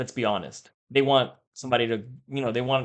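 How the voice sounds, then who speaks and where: At a moderate pace, a man speaks in a plain, everyday voice at medium pitch. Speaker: mortgage broker and real estate show host. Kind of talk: casual market commentary.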